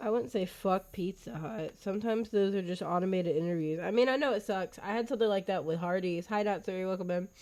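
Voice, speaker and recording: Speaking very fast with hardly any pauses, a woman uses a medium pitch, ordinary pitch variation, and an animated tone. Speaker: live streamer and substitute teacher. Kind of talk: casual live stream chat.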